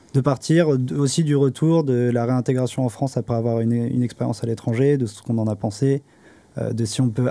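With a dark, mellow tone, a man talks at a fairly quick pace in fairly even intonation. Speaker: master's student. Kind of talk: casual chat. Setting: studio.

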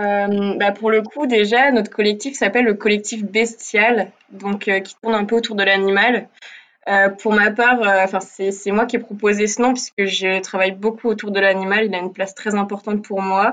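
A woman talks at a moderate pace and medium pitch in a monotone, flat intonation. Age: 20s. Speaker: art student. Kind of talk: interview.

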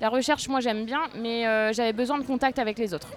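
A woman talks at a very fast pace, her pitch fairly high with ordinary variation. The recording is very clean, with a silent background. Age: 30s. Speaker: school administration secretary. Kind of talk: interview. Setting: outdoors on a café terrace.

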